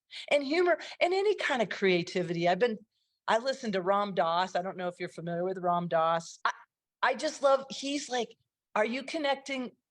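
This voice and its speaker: With lively intonation and a fairly quick pace, a woman talks at a medium pitch in an ordinary speaking voice. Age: 60s. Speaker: comedian. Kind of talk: casual chat.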